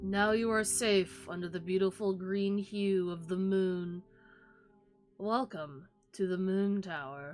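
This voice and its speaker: A put-on character voice at a fairly slow pace, with faint music in the background. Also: woman, medium pitch for a woman. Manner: monotonous.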